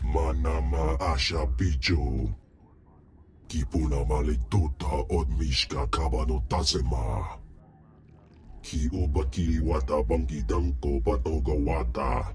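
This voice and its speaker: A put-on character voice drawls along at a fairly slow speed. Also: man, very deep, low pitch for a man. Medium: video game. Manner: speaks alien language.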